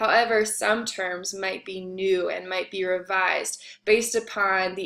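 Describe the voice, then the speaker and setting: Against a quiet background, a woman speaks with a bright, sharp tone and fairly even intonation. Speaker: instructor. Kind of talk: lecture. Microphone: webcam.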